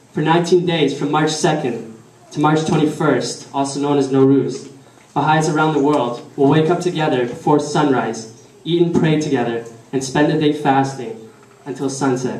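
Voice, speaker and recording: A man speaks at a moderate pace with a fairly high pitch and fairly even intonation. Audible room echo and noticeable background noise surround him. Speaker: speaker at a religious community celebration. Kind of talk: prepared speech. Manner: halting.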